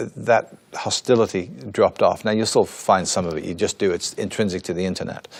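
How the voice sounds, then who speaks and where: Speaking at a moderate pace, a man with an English accent uses lively intonation and a fairly low pitch. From England. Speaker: church spokesman. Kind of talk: interview.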